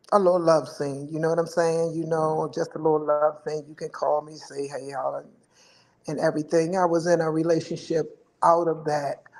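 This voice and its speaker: This woman's voice sits at a very deep, low pitch. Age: 60s. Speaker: wife of a former prisoner. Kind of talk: talk radio interview.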